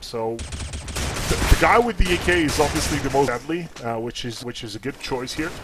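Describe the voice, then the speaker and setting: Noticeable background noise runs under the clip. A man does the talking. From Slovenia. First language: Slovene. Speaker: esports commentator. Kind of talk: live commentary. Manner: halting, many restarts; animated.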